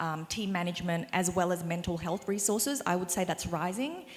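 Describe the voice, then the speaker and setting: A woman is talking in a medium pitch. She speaks with an Australian accent. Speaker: small business owner on panel. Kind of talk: panel discussion.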